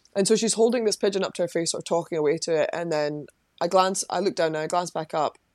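A woman talks at a very fast pace in a Lothian accent, fairly low in pitch with ordinary pitch variation. The recording is very clean, with a silent background and a dry, close sound with no echo. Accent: Scottish (Lothian). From Scotland, Livingston, West Lothian. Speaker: parapsychologist and former psychology lecturer. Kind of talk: interview.

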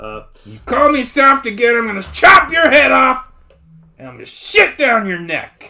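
A man's put-on character voice, extremely high-pitched and menacing in tone, at a moderate pace. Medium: actual play. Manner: menacing, crude, bullying.

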